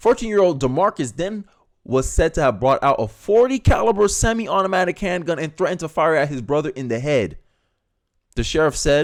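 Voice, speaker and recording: This man talks at a fairly quick pace, his pitch swinging very widely. The recording is very clean, with a silent background. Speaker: political commentator. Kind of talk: video commentary reacting to news, partly reading aloud. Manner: articulate, proper diction.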